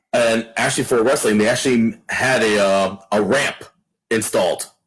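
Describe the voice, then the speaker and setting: This man has an ordinary speaking voice at a medium pitch, with fairly even intonation. He keeps a moderate pace and very even loudness. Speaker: wrestling ring announcer. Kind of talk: interview answer.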